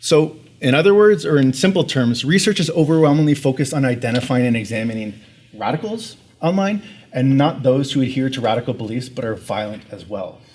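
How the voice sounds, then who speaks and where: A man's ordinary speaking voice at medium pitch, with lively intonation and a fairly quick pace. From Canada. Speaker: researcher. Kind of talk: conference presentation.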